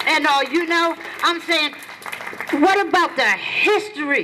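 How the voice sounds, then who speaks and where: A woman speaks in a raised, projected voice with lively intonation. Her pace is fairly slow, and there is noticeable background noise. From US, Philadelphia (North Philadelphia). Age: 60s. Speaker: community activist. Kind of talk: protest rally speech. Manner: impassioned.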